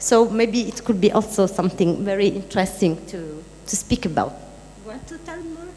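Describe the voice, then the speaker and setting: Noticeable background noise sits behind a woman at medium pitch. She talks at a moderate pace with lively intonation. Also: big swings in loudness. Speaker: artist discussing a media project. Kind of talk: panel discussion. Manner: halting, many fillers.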